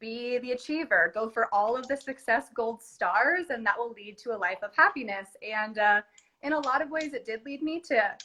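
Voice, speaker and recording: In a Californian accent, a woman speaks with a bright, sharp tone and a high pitch. Her intonation is lively and her pace moderate. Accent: Californian American. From California, US. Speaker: entrepreneur. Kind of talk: casual chat. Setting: Instagram live video.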